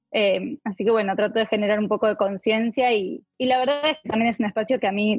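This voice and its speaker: This woman has a plain, everyday voice with a fairly high pitch. She talks at a fairly quick pace. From Argentina. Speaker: clinical psychologist. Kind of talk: interview.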